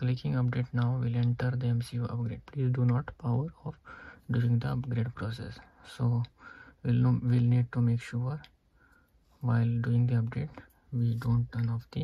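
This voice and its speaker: With a dark, mellow tone and monotone, flat intonation, a man speaks at a moderate pace broken by long, frequent pauses. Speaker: tech demonstrator. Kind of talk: tutorial. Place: home room. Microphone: phone near.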